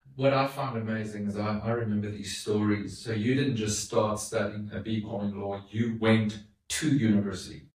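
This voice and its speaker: Audible room echo surrounds a man whose fairly low pitch comes with fairly even intonation. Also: moderate pace. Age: 50s. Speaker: podcast host. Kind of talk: interview with his mother.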